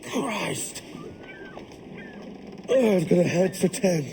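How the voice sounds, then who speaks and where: Someone does a raspy, put-on character voice at a middle pitch. Background noise is clearly audible. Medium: video game.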